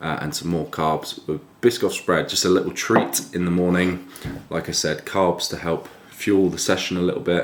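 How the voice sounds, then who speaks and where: The speaker uses an English accent at a moderate pace, with ordinary pitch variation. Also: man. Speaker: fitness vlogger. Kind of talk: casual vlog. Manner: speaking quietly.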